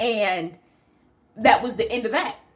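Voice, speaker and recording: A woman speaks over noticeable background noise. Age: 20s. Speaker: podcast host sharing personal story. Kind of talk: personal testimony. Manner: halting.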